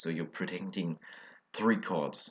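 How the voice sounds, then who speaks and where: Against a quiet background, a man with a French accent speaks at a moderate pace in a very deep, low voice. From France. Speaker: card game video creator. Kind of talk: deck profile tutorial. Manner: halting, many fillers.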